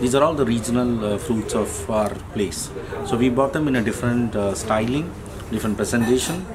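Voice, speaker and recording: A man talks at a moderate pace. There is noticeable background noise. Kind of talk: interview answer. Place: cafe.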